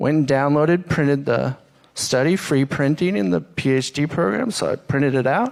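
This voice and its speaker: Soft-spoken, the man talks in a fairly high voice. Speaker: social scientist, panelist. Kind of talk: panel presentation.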